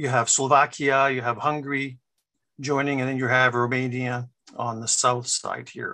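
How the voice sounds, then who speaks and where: The man's tone is bright and sharp. He speaks fairly slowly, and the background is quiet. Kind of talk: lecture. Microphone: video call.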